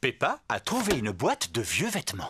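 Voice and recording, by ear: A man does a cartoonish character voice at a medium pitch, with very wide pitch swings. His tone is fairly bright with a husky, rough edge. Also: moderate pace.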